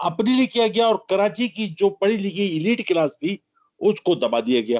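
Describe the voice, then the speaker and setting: The recording is dry and close with no echo. A man talks in a high pitch with lively intonation. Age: 70s. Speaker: political commentator. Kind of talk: interview. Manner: animated.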